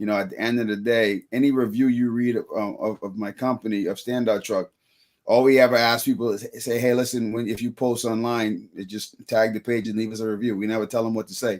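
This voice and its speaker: A man's medium-pitched voice at a fairly quick pace, monotone and flat in intonation. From Bahamas (Freeport). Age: 30s. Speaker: business owner. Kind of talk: interview. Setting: live show.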